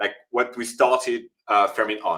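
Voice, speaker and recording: He is a man with a French accent. His pace is moderate. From France. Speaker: startup co-founder and CEO. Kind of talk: interview. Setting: LinkedIn live stream.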